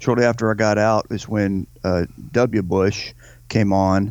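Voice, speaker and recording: A man with a Southern US accent, fairly low pitch and fairly even intonation, over a quiet background. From Louisiana. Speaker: podcast co-host, army veteran. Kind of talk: casual political talk.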